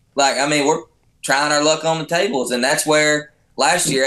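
Talking at a fairly quick pace, a man with a Texan accent has a fairly high pitch and a bright, sharp tone. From Texas, Fort Worth area; Texas. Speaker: professional bull rider; podcast guest. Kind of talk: casual chat. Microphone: video call.

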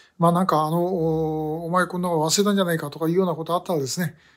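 Against a quiet background, a man with a high pitch talks at a very fast pace. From Japan. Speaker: activist for abductee issue. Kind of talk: video monologue. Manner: halting with many fillers. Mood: self-deprecating, apologetic. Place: office. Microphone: phone near.

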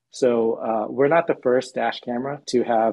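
Fairly slow pace and ordinary pitch variation from a man. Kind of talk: interview answer. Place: home room. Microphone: video call.

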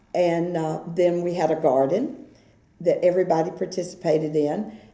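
Audible room echo surrounds this voice. A woman speaks at a fairly low pitch. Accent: American. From Brooksville, Florida, USA. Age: 70s. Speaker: oral history interviewee. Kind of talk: oral history interview answer. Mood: warm, nostalgic.

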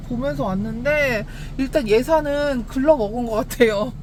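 A woman speaks at a fairly high pitch. Noticeable background noise runs under her voice. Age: 30s. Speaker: designated driver and car delivery driver. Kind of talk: casual vlog talk to camera.

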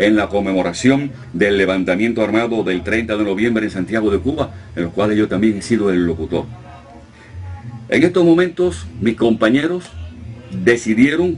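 Music plays in the background as a man speaks with lively intonation. His pitch is fairly low, and he leaves long, frequent pauses. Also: moderate pace. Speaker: radio announcer. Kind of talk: interview answer, casual talk about his career.

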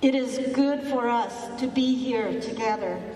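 The speech moves at a fairly slow pace in a monotone, flat intonation. Room echo is audible. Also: woman. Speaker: minister. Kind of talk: funeral service. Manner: formal. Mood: solemn, grieving. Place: hall.

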